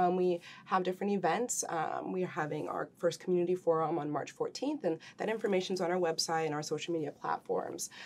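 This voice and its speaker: Her speech comes at a fairly quick pace. The speaker is a woman of medium pitch. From Wisconsin, US Midwest. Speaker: nonprofit co-founder; guest. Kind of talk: interview. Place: studio.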